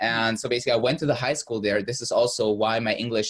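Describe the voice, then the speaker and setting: A man talks at a very fast pace with a Russian accent. His pitch is medium. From Germany, born in Russia. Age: 20s. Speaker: business coach. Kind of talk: interview. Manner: halting, many fillers.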